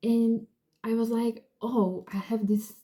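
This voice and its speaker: A woman speaks at a fairly slow pace. Her dark, mellow tone is somewhat breathy. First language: not English. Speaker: book vlogger. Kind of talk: casual book review. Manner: casual, filler-heavy.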